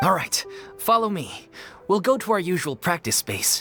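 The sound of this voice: A man uses a put-on character voice, high-pitched with big pitch swings and a bright, sharp tone. His pace is moderate, and faint music plays in the background.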